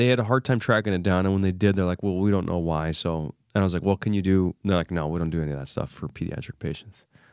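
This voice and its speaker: A man with a very deep, low pitch talks at a very fast pace in a very clean recording with a silent background and a dry, close sound with no echo. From Egyptian heritage. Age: 40s. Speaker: leadership coach and entrepreneur. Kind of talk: casual chat.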